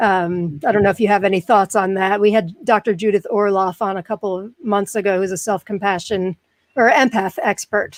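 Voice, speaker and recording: On a very clean recording with a silent background and a dry, close sound with no echo, a woman with an American accent speaks fairly quickly at a medium pitch with fairly even intonation. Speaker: podcast host with chronic pain. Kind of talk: casual interview chat.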